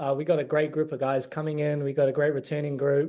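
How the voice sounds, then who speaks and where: The speaker talks at a fairly quick pace in a New Zealand accent. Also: man. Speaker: college basketball player. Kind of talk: interview.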